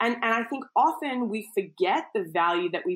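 She speaks with an Australian accent. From Australia, Queensland. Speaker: entrepreneur and former foreign correspondent. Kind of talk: interview. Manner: hesitant fillers.

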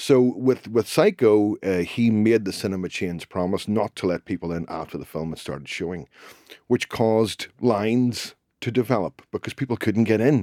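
A man with a Northern Irish accent speaks at a moderate pace and a fairly low pitch, with ordinary pitch variation. His tone is dark and mellow, and the sound is dry and close with no echo. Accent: Northern Irish (Belfast). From Northern Ireland, Belfast. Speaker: crime novelist. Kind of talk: casual interview.

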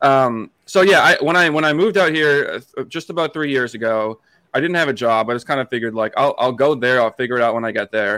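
In a very clean recording with a silent background and a dry, close sound with no echo, a man with an American accent and a bright, sharp tone talks at a very fast pace with hardly any pauses. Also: medium pitch for a man. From Massachusetts, US. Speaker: podcast producer and co-host, hockey fan. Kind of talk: casual interview chat.

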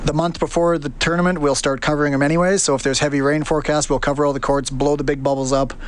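Delivery is very fast, with hardly any pauses, a monotone, flat intonation and very even loudness. Noticeable background noise runs underneath. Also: man, fairly high pitch for a man. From Alberta, Canada (Stony Plain). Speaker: head groundsman at a tennis venue. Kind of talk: interview.

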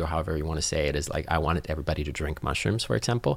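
A man speaks with vocal fry. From Finland, town of Nokia. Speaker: entrepreneur. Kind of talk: interview. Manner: animated.

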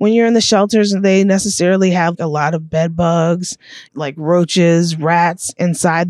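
Using a normal speaking voice, a woman talks at a fairly low pitch and a fairly slow pace with ordinary pitch variation. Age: 30s. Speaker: formerly homeless street newspaper vendor. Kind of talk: interview.

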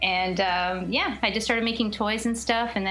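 In a plain, everyday voice, a woman talks at a fairly quick pace, her medium pitch moving in fairly even intonation. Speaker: comic creator. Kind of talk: casual chat.

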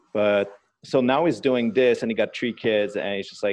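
A man with a Quebec accent and fairly even intonation. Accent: Québécois French-accented English. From Quebec, Canada. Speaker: streetwear designer. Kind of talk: casual interview. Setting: call.

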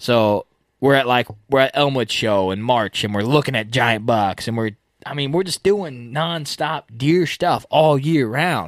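On a very clean recording with a silent background and a dry, close sound with no echo, a man speaks at a fairly slow pace in an unremarkable speaking voice, medium in pitch with lively intonation. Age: 20s. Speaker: deer hunting podcast host. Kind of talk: casual chat.

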